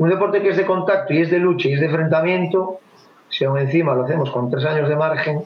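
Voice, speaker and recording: Speaking at a very fast pace, a man has a Galician accent and ordinary pitch variation. Noticeable background noise can be heard. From Spain (Galicia). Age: 40s. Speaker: taekwondo instructor. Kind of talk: casual chat. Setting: video call.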